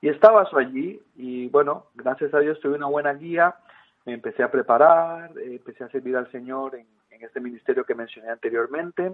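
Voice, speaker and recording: A man speaks with a Costa Rican accent. His pace is fairly quick. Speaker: missionary. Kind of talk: interview. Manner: halting, many fillers.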